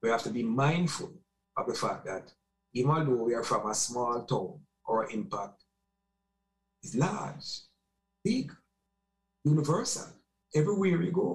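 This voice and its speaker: Against a quiet background, a man speaks at a fairly slow pace with vocal fry, very wide pitch swings and long, frequent pauses. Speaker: remote guest. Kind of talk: interview answer. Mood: reflective, nostalgic. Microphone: webcam.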